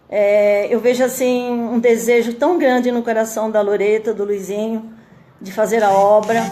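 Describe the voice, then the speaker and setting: Over noticeable background noise, a woman talks at a very slow pace with fairly even intonation. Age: 60s. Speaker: churchgoing mother giving testimony. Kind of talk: testimony. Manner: halting, many fillers.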